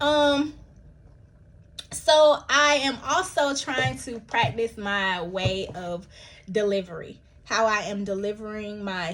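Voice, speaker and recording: A woman with an American accent speaks at a very slow pace in a fairly high voice with lively intonation. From US South, Milledgeville, Georgia. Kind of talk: casual vlog monologue. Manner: halting, many fillers and restarts.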